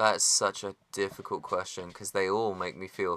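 At a moderate pace, a man speaks in a very deep, low voice with flat, monotone intonation. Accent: West Country. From West Country, England. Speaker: musician. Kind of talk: casual chat. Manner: halting, many fillers.

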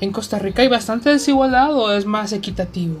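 Music plays behind a woman speaking at a fairly quick pace. Her pitch varies in an ordinary way. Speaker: podcast co-host. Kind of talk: casual chat.

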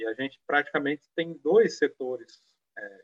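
A man speaks at a moderate pace with a normal speaking voice. His pitch is fairly high. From Brazil, São Paulo state (Penápolis). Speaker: anthropologist, former culture official. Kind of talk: live-streamed panel discussion.

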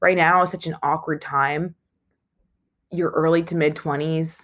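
A woman with a low pitch and a fairly bright tone speaks at a fairly slow pace, her intonation fairly even. The recording is very clean, with a silent background.

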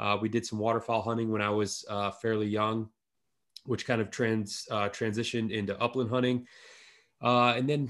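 Speaking at a fairly quick pace, a man with an Upper Midwest accent keeps a medium pitch and a flat, monotone intonation. The recording is very clean, with a silent background. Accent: Upper Midwest American. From northern lower Michigan, rural. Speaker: podcast host and apparel brand founder. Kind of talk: casual chat.

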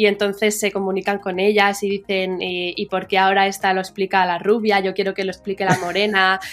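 Music plays behind a woman who speaks at a fairly quick pace with hardly any pauses, her medium pitch held in a monotone, flat intonation. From Madrid, Spain and New York. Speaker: media founder. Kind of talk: interview. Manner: halting, with many fillers.

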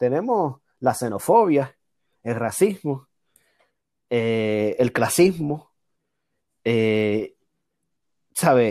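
Over a silent background in a very clean recording, a man with a medium pitch and a dark, mellow tone talks at a very slow pace, his intonation lively and his pauses long and frequent. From Puerto Rico, Aguadilla. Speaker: political science doctoral student. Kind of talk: casual chat. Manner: animated.

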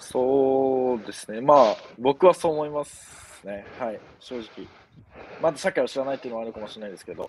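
The male speaker, using a normal speaking voice, keeps a medium pitch with ordinary pitch variation as he talks at a fairly quick pace. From Japan, Yamanashi. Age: 20s. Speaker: university student. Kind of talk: casual chat. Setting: outdoors.

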